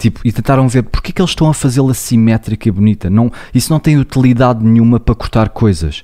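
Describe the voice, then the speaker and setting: A man with a dark, mellow tone talks at a very fast pace with hardly any pauses. His loudness stays very even. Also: ordinary pitch variation. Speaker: psychologist and podcast co-host. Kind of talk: casual chat. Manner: loud, declamatory.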